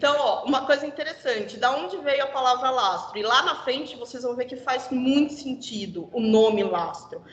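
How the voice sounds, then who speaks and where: A woman talks in a high voice with hardly any pauses. There is noticeable background noise. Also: ordinary pitch variation, moderate pace. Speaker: corporate trainer. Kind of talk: internal presentation.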